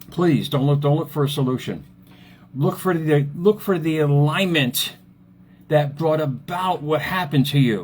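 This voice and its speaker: The voice is somewhat breathy, with ordinary pitch variation and a moderate pace. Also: man, fairly high pitch for a man. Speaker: motivational speaker and author. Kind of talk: motivational talk on Facebook live. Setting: Facebook live stream. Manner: casual, repetitive; animated.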